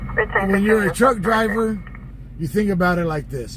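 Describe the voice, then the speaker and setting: With an American accent, a man talks at a fairly slow pace amid noticeable background noise and audible room echo. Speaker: live streamer commenting on police scanner, former tow truck driver. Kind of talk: casual live-stream commentary.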